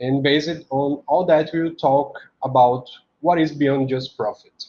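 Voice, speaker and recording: In a Portuguese accent, a man speaks fairly slowly at a medium pitch, his dark, mellow tone somewhat breathy and his intonation fairly even. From Brazil, Recife. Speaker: software engineer. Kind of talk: conference talk. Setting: conference talk.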